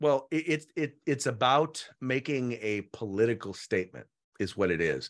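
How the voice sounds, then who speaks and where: Over a quiet background, a man with a medium pitch, lively intonation and vocal fry speaks at a moderate pace. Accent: American. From San Francisco Bay Area, California. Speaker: political spokesman and commentator. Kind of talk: interview. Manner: halting, many fillers and repetitions.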